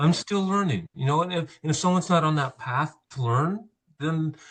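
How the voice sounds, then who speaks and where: A man talks at a moderate pace in a fairly high pitch, sounding somewhat breathy. His pitch varies in an ordinary way. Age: 60s. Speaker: landscaper. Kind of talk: casual chat. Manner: hesitant, many fillers.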